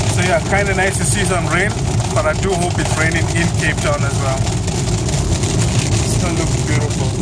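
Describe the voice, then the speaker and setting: Loud background noise with a dry sound and no echo. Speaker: road trip vlogger. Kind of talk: casual vlog chat. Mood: relaxed, content. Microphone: phone near.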